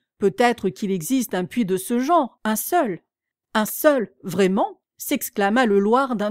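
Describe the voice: The clip features plain reading aloud, with ordinary pitch variation, set against a quiet background.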